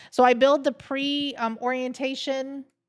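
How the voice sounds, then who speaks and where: A loud woman's high voice at a moderate pace, very clean recording with a silent background. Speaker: nurse educator and livestream host. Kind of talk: casual chat. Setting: livestream.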